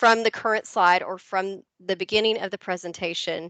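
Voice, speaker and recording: A woman speaks at a medium pitch in a flat, monotone way. The background is quiet. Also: dry, close sound with no echo. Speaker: educational technology trainer. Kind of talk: webinar presentation. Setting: video call. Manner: hesitant, many fillers.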